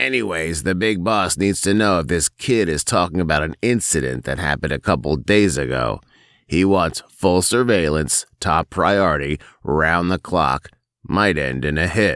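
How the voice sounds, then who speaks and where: In a gruff put-on character voice with very deep, low pitch and lively intonation, a man speaks at a moderate pace, recorded very clean with a silent background and a dry, close sound with no echo. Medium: read story. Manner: gruff, curt.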